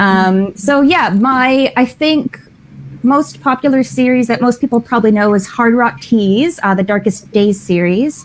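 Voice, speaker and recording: Speech with a Canadian accent moves at a fairly slow pace with lively intonation and very even loudness. Noticeable background noise sits behind it. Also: woman, fairly high pitch for a woman. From Canada. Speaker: romance author. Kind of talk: casual chat.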